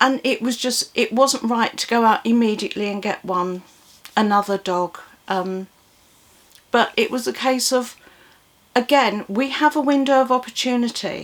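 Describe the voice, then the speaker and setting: A woman with an English accent, fairly high pitch, ordinary pitch variation, moderate pace and long, frequent pauses. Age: 60s. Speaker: vlogger. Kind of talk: casual chat. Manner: rambling, hesitant with repetitions.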